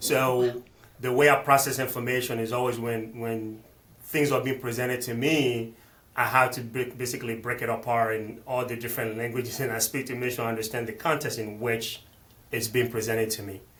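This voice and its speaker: Monotone, flat delivery from a man at medium pitch and a fairly quick pace, with noticeable background noise. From Benin, West Africa. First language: not English; multilingual. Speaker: financial planner. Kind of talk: interview conversation. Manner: halting, frequent repetitions and fillers.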